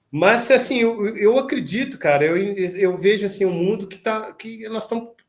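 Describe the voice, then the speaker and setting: A man speaks at a fairly slow pace, his intonation lively. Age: 60s. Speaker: metal band vocalist. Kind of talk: casual interview chat. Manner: halting, many repetitions and fillers.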